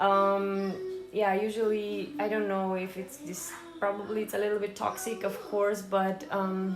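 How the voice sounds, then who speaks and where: A woman speaks fairly slowly at a medium pitch. Audible room echo surrounds her, with music in the background. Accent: non-native. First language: not English. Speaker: fitness vlogger. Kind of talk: casual vlog talk. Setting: at home in kitchen. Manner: hesitant, many fillers.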